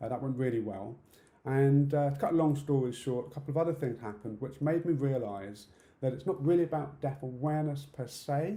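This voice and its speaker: Speaking with a British accent at a fairly quick pace, a man uses a somewhat breathy, fairly high voice with a dark, mellow tone and ordinary pitch variation, with audible room echo. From UK. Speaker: conference speaker, deaf accessibility campaigner. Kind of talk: conference talk. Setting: online conference talk.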